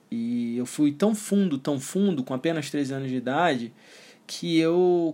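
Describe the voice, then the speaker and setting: On a very clean recording with a silent background, a man has a plain, everyday voice, speaking at a moderate pace with a fairly high pitch and ordinary pitch variation. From Brazil. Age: 30s. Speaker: NLP coach and entrepreneur. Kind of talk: personal story monologue. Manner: casual.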